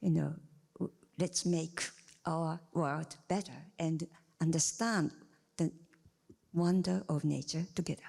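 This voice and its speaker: A woman speaks with a Japanese accent at a fairly slow pace and fairly low pitch. Her intonation is fairly even, broken by long, frequent pauses. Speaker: scientist, panel member. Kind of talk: panel discussion. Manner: halting.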